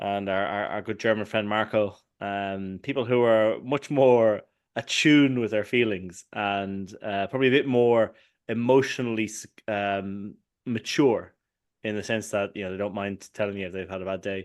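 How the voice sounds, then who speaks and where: Here is a man with an Irish accent. His intonation stays fairly even. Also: fairly low pitch for a man, moderate pace. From Ireland. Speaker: podcast co-host. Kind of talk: casual chat. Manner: halting.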